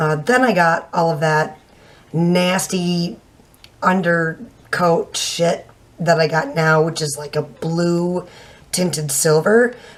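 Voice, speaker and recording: A woman speaks at a very slow pace. Her pitch is fairly low, with ordinary variation. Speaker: beauty vlogger. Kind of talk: product review. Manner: casual, hesitant with fillers. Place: home room. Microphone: webcam.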